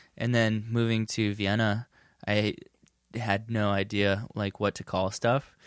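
A man with an American accent, flat monotone intonation and a fairly slow pace, in a dry, close sound with no echo. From San Diego, California. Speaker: film and TV production worker. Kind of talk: casual chat. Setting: studio.

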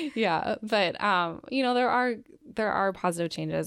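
A woman with an Upper Midwest accent talks at a moderate pace with lively intonation. The recording is very clean, with a silent background. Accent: Upper Midwest American. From Minnesota, Twin Cities suburbs. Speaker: physician assistant. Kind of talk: interview, personal testimony.

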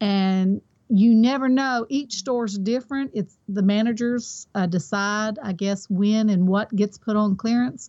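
Hardly pausing, a woman with a Kentucky accent talks at a fairly high pitch with ordinary pitch variation. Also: fairly slow pace. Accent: Kentucky Southern US. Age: 50s. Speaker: online reseller. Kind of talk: interview.

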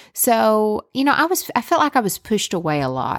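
In a very clean recording with a silent background, a woman speaks in a Southern US accent. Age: 30s. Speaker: podcast host. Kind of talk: personal storytelling monologue. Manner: animated.

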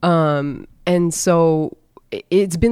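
With an American accent, a woman speaks in fairly even intonation. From US Midwest, North Dakota. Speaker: wellness advocate and journalist. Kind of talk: casual interview.

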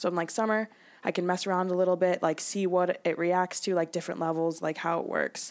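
With an American accent, a woman with a fairly low pitch speaks at a fairly quick pace in a plain, everyday voice with fairly even intonation on a very clean recording with a silent background. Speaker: college athlete and diabetes advocate. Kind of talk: casual interview.

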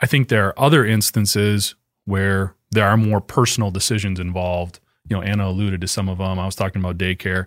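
Recorded in a dry, close sound with no echo, a man with a fairly low pitch talks at a very fast pace. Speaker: trade journalist, co-host. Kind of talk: casual chat, live podcast.

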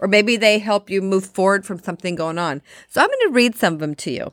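Recorded very cleanly against a silent background, with a dry, close sound and no echo, a woman with an ordinary speaking voice talks at a fairly quick pace with lively intonation. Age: 50s. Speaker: health and fitness podcast host and author. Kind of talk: solo motivational talk. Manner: warm, conversational.

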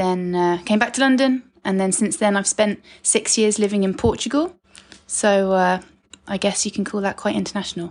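In a southern English accent, a woman speaks at a medium pitch. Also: ordinary pitch variation, moderate pace, quiet background. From southern England (Sussex). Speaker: guest, host's stepdaughter. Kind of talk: casual interview.

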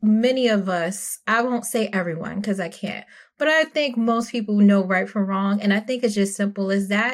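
A woman with a New York accent talks at a moderate pace and a fairly high pitch with ordinary pitch variation, in a very clean recording with a silent background. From Brooklyn, New York. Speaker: spouse of former Jehovah's Witness. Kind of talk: casual interview.

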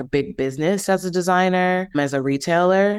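The recording is very clean with a silent background. A woman talks at a moderate pace with ordinary pitch variation. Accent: American. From Milwaukee, Wisconsin. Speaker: handbag designer and entrepreneur. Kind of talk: interview.

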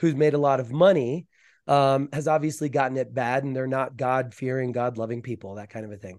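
Against a quiet background, a man with an American accent and a normal speaking voice talks at a fairly quick pace, with a medium pitch and ordinary pitch variation. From US South. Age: 40s. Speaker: mind coach and sound therapist. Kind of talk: interview.

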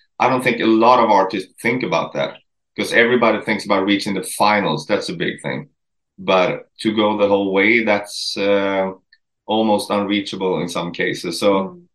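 A man with a Swedish accent speaks at a moderate pace with ordinary pitch variation. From Sweden. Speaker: country musician. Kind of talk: interview.

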